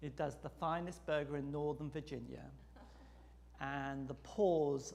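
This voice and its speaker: A man speaks with an English accent, and the room echo is audible. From England. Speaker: seminary president and priest. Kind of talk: lecture.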